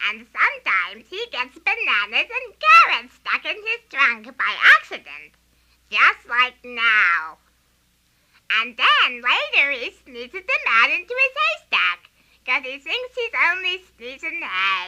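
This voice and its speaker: Pitched high for a woman, her voice is a put-on character act. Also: fairly slow pace. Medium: audio drama. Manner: lively, eager.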